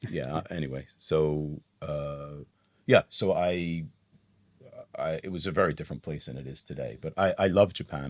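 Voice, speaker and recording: A man talks at a moderate pace with a very deep, low pitch. His intonation stays fairly even. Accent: American. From USA. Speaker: business executive and entrepreneur. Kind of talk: interview.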